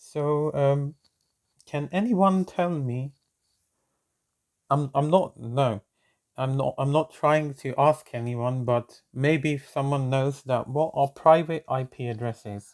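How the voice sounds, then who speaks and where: Speaking very slowly with long, frequent pauses, a man with a non-native accent shows ordinary pitch variation in a very clean recording with a silent background. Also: fairly high pitch for a man. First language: not English. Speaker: networking tutor, channel owner. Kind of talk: tutorial. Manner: hesitant, many fillers.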